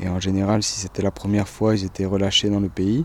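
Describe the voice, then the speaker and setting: This man's pitch is fairly low and his intonation monotone and flat. He keeps a moderate pace. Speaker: traveller recounting detention. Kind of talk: testimony.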